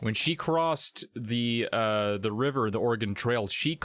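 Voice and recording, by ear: A natural voice, reading aloud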